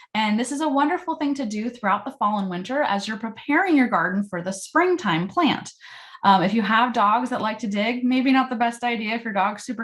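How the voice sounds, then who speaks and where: A woman speaks at a fairly quick pace with a fairly high pitch. Her intonation is lively. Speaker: composting class instructor. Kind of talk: online class presentation. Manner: fast.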